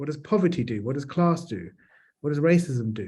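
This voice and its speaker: A man with a London accent speaks at a moderate pace, his pitch swinging very widely. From South London, England. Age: 40s. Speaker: charity chief executive. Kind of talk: panel discussion.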